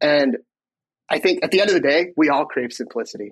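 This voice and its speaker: A very fast-talking man with an American accent and lively intonation, over a quiet background. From Michigan. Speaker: tech executive. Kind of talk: interview.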